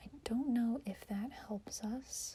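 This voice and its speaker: A soft-spoken woman talks with a dark, mellow tone that is somewhat breathy. Her pitch varies in an ordinary way. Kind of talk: ASMR soft-spoken puzzle-solving talk to camera. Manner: soft-spoken, quiet, thinking aloud.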